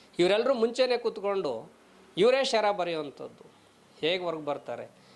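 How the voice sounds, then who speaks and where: A man speaks in an ordinary speaking voice. His intonation is lively. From Karnataka, Chitradurga district. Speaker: journalist. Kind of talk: video commentary.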